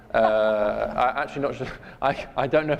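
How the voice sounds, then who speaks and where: A man with a British accent talks at a fairly quick pace, his pitch varying in an ordinary way. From UK. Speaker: author and think-tank scholar. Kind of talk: public talk. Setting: church forum with audience.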